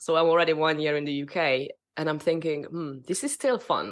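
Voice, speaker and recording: A woman talks at a fairly quick pace with a Hungarian accent. Her pitch is fairly low. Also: very clean recording, silent background. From Hungary. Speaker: spiritual business mentor. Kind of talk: interview. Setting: podcast.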